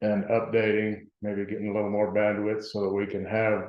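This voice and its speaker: This soft-spoken man has a fairly low-pitched voice. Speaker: town board trustee. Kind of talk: public meeting discussion. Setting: meeting room with Zoom link. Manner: halting.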